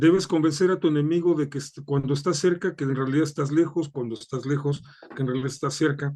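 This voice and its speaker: With a Mexican accent, a man speaks at a fairly quick pace and a fairly high pitch, his intonation fairly even. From Mexico. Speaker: political analyst. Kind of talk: interview.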